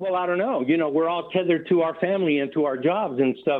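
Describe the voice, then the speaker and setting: A man speaks in an unremarkable speaking voice. His pitch sits fairly high. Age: 60s. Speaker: radio caller. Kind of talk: call-in opinion. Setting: phone call.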